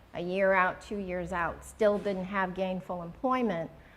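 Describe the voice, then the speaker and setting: A woman with an American accent and an unremarkable speaking voice talks with fairly even intonation. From New York City (Queens). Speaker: retired corporate lawyer, alumna. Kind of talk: interview at school luncheon.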